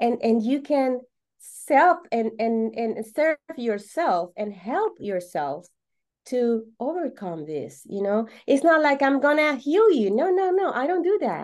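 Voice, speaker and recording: Against a quiet background, a woman with a Venezuelan accent speaks at a very slow pace in a high pitch, with very wide pitch swings. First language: Spanish. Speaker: holistic coach. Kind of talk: podcast interview. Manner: halting, with many fillers and repetitions.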